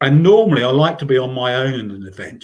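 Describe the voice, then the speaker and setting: Somewhat breathy and fairly high-pitched, a man talks with lively intonation in an English accent. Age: 60s. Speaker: trail runner. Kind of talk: casual interview chat. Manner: halting, many repeated words.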